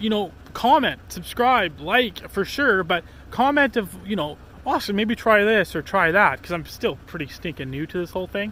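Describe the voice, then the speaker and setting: A man projects a raised voice at a high pitch, moving at a moderate pace with lively intonation. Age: 20s. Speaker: outdoor vlogger. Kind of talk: casual vlog. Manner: rambling with many fillers.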